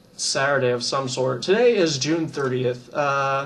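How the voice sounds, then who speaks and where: Noticeable background noise and audible room echo surround a man speaking at a fairly high pitch with fairly even intonation. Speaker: gaming YouTuber. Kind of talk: casual vlog monologue. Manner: hesitant, many fillers and repeats.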